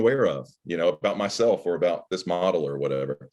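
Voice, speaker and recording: A man speaks very fast with an American accent. Vocal fry runs through his voice. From Alabama. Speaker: automotive journalist. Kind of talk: interview. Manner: halting.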